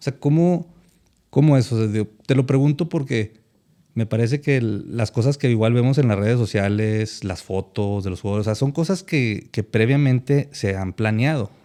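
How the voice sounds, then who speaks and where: At a moderate pace, a man talks in a medium pitch. The tone of his voice is dark and mellow. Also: ordinary pitch variation. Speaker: podcast host. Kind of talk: casual podcast talk.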